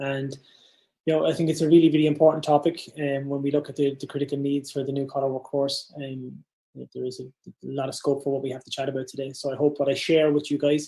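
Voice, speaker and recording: A very fast-talking man with an Irish accent, a fairly high pitch, a dark, mellow tone and monotone, flat intonation. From Ireland, Dundalk (north-east). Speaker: business founder and keynote speaker. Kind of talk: keynote presentation. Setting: virtual summit.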